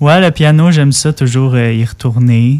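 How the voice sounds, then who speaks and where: At a fairly slow pace, a man speaks with a Quebec accent and fairly even intonation. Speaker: singer-songwriter. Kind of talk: casual interview. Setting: studio. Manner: hesitant.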